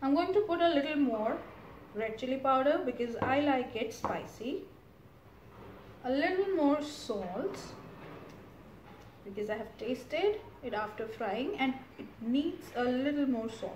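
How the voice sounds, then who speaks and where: A woman with a high pitch speaks at a fairly slow pace, taking long, frequent pauses. Room echo is audible, along with light background noise. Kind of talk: tutorial. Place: kitchen. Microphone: camera far.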